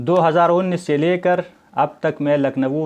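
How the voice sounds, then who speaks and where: A man speaks with a Pashto accent. His intonation is fairly even. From Afghanistan. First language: Pashto (speaking Hindi). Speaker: Hindi lecturer and doctoral researcher. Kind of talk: educational talk. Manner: formal.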